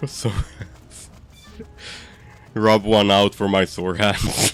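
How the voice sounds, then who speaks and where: A man with a non-native accent at a very slow pace, fairly even intonation, and noticeable background noise. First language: not English. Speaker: video game speedrunner streamer. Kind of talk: live gameplay commentary. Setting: live stream. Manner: halting, many fillers and restarts.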